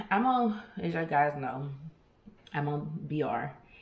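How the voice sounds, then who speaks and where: Over light background noise and with audible room echo, a woman speaks in a very deep, low pitch. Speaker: vlogger. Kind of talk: casual vlog chat. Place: kitchen. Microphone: phone near.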